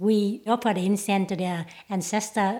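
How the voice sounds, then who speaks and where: A woman speaks at a medium pitch. She has a Vietnamese accent. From Vietnam, Chinese background. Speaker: school worker. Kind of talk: interview.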